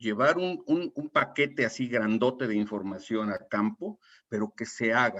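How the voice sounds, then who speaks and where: The voice swings very widely in pitch and moves at a fairly slow pace. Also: man. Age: 60s. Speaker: retired oil industry safety consultant. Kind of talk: webinar panel talk. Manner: halting, with repetitions.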